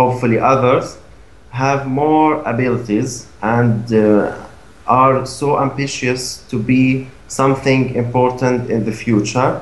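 Audible room echo surrounds a man speaking very slowly at a medium pitch with fairly even intonation. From Gaza, Palestine. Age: 20s. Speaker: NGO program coordinator. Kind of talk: interview answer. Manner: hesitant, many fillers. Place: home room. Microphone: video call.

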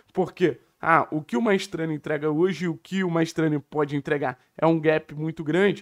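The background here is quiet. A man speaks at a fairly quick pace. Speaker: football commentator. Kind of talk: football commentary, podcast talk. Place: home room. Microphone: studio mic.

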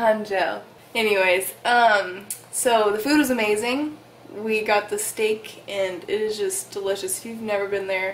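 With light background noise behind her, a woman speaks with fairly even intonation. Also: fairly slow pace. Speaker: vlogger. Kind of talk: casual vlog chat. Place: home room. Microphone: phone near.

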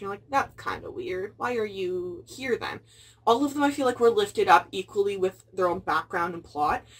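The woman speaks very fast, and her pitch varies in an ordinary way. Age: 20s. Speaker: booktuber. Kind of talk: book review vlog. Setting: at home, filming video. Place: home room. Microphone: phone near.

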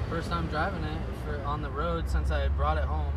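Loud background noise nearly competes with a man talking at a moderate speed. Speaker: car hobbyist vlogger. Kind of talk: casual vlog chat. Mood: relaxed, pleased. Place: car. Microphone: phone near.

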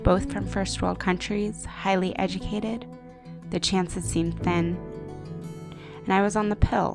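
Against music in the background, a woman with an American accent speaks at a moderate pace with long, frequent pauses. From United States (Japanese American). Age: young. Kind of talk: personal digital story voiceover. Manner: reflective, quiet.

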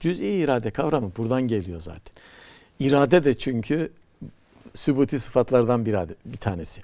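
At a moderate pace, a man with a medium-pitched, dark, mellow voice makes very wide pitch swings and big swings in loudness against a quiet background. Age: 60s. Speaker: poet and professor; poet, professor. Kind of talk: TV talk show conversation. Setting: TV studio. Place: studio. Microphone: lapel.

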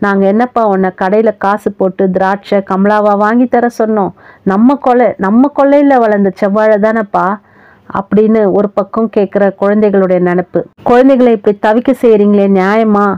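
Her intonation fairly even and her pitch medium, a woman talks in an ordinary speaking voice. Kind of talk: short story narration.

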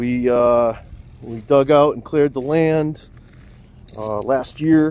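A man's voice with fairly even intonation, light background noise and a dry sound with no echo. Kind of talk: casual vlog chat. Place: open country. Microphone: phone near.

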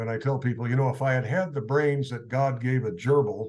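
A man with an American accent, medium in pitch, slightly mellow in tone, fast and fairly even in delivery, with audible room echo

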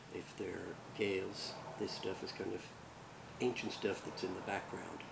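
A man's fairly low voice at a moderate pace, with noticeable background noise. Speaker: culture educator. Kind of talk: informal lecture. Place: garden. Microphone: camera far.

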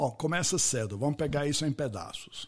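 On a very clean recording with a silent background, a man speaks with an English accent, his voice somewhat breathy and his intonation lively. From US, Pittsburgh. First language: English (speaking Portuguese). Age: 70s. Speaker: podcast host and networking expert. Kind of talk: interview conversation.

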